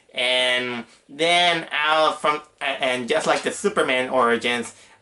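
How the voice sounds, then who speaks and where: Speech comes at a very slow pace amid noticeable background noise. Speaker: movie reviewer. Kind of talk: movie review monologue. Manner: halting, many fillers; keeping voice down.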